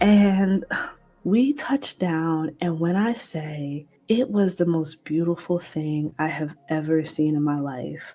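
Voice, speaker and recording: Music plays in the background as a woman speaks. Her pace is very slow, her intonation lively. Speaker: podcast host. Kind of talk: casual chat.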